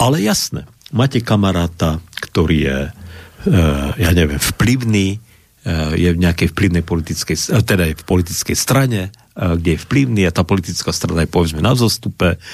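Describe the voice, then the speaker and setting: Speaking at a moderate pace with ordinary pitch variation, a man with a very deep, low pitch leaves long, frequent pauses. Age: old. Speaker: Lutheran pastor and historian. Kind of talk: radio discussion. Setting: radio studio.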